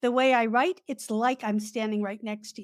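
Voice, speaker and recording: A woman with an ordinary speaking voice talks at a moderate pace, her fairly high pitch held in fairly even intonation. The recording is very clean, with a silent background. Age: 60s. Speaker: author and professional organizer. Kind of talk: interview.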